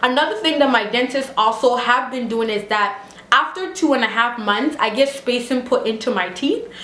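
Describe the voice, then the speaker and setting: Animated and high-pitched, a woman's voice comes through. Audible room echo and noticeable background noise surround her. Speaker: beauty and lifestyle vlogger. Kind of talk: casual vlog tutorial.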